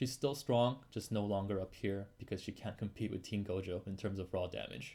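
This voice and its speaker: In a dark, mellow tone and a fairly low pitch, a man speaks with hardly any pauses. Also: ordinary pitch variation, moderate pace. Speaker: gaming youtuber. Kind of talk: tier list commentary. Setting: at home. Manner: info-focused, not very animated.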